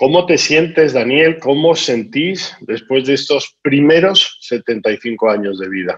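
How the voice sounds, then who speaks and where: The delivery is very slow in pace. Its intonation is lively. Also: man, fairly high pitch for a man. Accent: Spanish. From Spain. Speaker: business school dean and podcast host. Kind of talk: interview. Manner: hesitant, with fillers.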